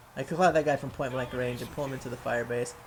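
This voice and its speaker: Amid noticeable background noise, a man talks at a very fast pace in a medium pitch. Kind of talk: gameplay commentary. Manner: casual, profane.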